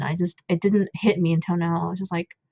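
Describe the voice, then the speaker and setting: A woman with a non-native accent, in a dry, close sound with no echo. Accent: self-described non-native. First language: not English. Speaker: coding tutorial creator, parent. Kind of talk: tutorial. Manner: hesitant, many fillers; casual, chatty.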